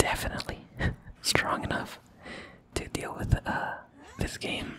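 The voice is whispering. Its tone is relaxed. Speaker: ASMR content creator. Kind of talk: ASMR gameplay commentary, casual talk. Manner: whispering, relaxed. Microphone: studio mic.

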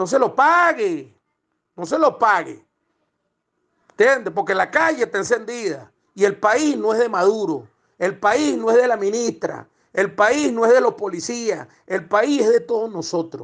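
A man speaks at a fairly slow pace in a high, animated voice with lively intonation. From Venezuela. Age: 50s. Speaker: protester. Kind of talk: voice message rant.

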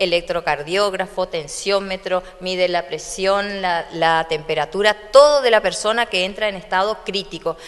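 At a fairly slow pace, a woman talks at a medium pitch in an unremarkable speaking voice. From Argentina, Corrientes (Santa Lucía); Corrientes, Argentina. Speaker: hospital doctor and administrator. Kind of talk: public speech and guided tour; interview answer. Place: hall. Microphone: handheld.

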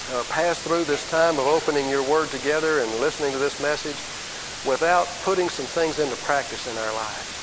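Noticeable background noise runs beneath speech delivered at a moderate speed. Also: man. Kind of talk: sermon. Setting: church. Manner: earnest, warm, exhortative preaching with direct appeals to the congregation.

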